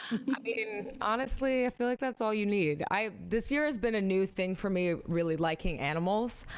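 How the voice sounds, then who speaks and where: A woman with an ordinary speaking voice and an American accent talks at a moderate pace with a fairly high pitch, lively intonation, very even loudness and hardly any pauses. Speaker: livestream host. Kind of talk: casual chat. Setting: livestream.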